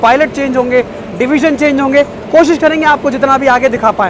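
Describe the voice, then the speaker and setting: Noticeable background noise under speech at a fairly slow pace. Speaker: travel vlogger. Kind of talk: casual vlog chat and interview questions. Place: station. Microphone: phone near.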